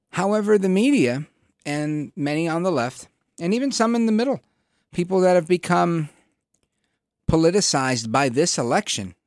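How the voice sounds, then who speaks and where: A man's high voice with very wide pitch swings, a moderate pace and long, frequent pauses, on a very clean recording with a silent background. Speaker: political talk radio host. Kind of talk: talk radio commentary. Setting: studio. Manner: staccato delivery.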